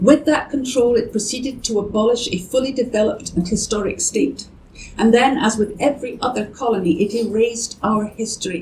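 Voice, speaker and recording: A woman's fairly high voice with a Scottish accent, fairly quick, with ordinary pitch variation and noticeable background noise. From Scotland. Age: 60s. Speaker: campaign co-founder. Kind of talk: speech. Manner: formal.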